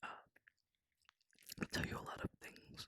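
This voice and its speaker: A man whispering, the sound dry and close with no echo. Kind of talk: ASMR whispered roleplay confession to a friend. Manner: soft-spoken, whispering, hesitant.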